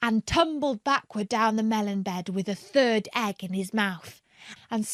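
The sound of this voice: Ordinary pitch variation runs through this unforced reading voice.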